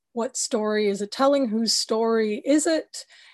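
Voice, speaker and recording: A plain, everyday voice speaks with an American accent at a moderate pace. The background is quiet. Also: woman. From United States. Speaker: cinematographer. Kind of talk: interview.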